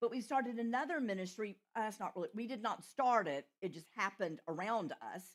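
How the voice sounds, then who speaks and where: Speaking with a Southern US accent, a woman moves at a fairly quick pace. Her fairly high voice carries lively intonation. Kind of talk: retreat talk.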